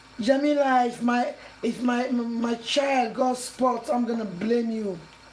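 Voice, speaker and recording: A woman's fairly high voice, fairly even in intonation, over noticeable background noise. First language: not English. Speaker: cooking channel host. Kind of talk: cooking tutorial.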